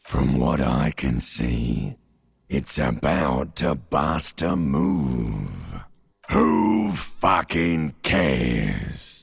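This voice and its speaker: Growling in a put-on character voice, a man speaks at a very slow pace with a very deep, low pitch. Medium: video game. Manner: slow, ominous.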